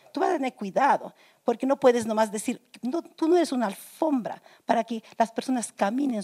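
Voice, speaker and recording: A woman talks at a moderate pace in a high pitch with a dark, mellow tone. The sound is dry and close, with no echo. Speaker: pastor. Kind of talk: Q&A panel answers.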